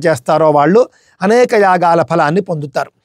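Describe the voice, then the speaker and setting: In a dry, close recording with no echo, a man speaks in a calm tone with ordinary pitch variation. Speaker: spiritual discourse narrator. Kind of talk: devotional religious discourse (pravachanam). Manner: calm, devotional, explanatory.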